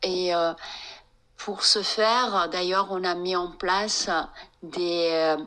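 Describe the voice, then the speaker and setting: Pausing long and often, a woman speaks at a very slow pace and a medium pitch with fairly even intonation. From France, of Iranian descent. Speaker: psychotherapist and meditation teacher. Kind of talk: interview. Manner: halting, with many hesitations.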